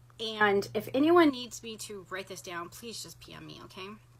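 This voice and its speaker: A woman speaks at a moderate pace with a medium pitch. Her voice has vocal fry. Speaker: energy healer. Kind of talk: instructional talk to live viewers.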